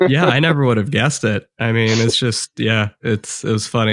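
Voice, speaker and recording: Speaking with an American accent, a man has a fairly low pitch and ordinary pitch variation. The sound is dry and close with no echo, against a quiet background. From US Midwest. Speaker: podcast host. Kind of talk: casual interview chat.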